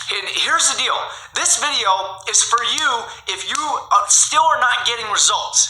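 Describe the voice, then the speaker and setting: A man's raised, projected voice sits at an extremely high pitch, with lively intonation and an energetic tone. Audible room echo and noticeable background noise surround it. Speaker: online marketing YouTuber. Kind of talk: tutorial. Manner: energetic, coaching tone.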